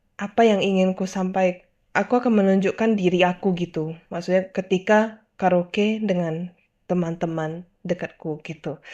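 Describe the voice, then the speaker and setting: A woman at a medium pitch, fairly slow pace and ordinary pitch variation. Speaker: video host. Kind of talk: solo monologue, casual video commentary. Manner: casual, mixes English phrases.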